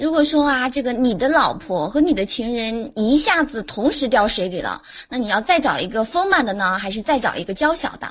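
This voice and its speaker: A woman with a high pitch and very wide pitch swings talks at a fairly quick pace with hardly any pauses. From Jiangsu, China. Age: 20s. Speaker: caller. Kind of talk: casual chat. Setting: online voice chat room.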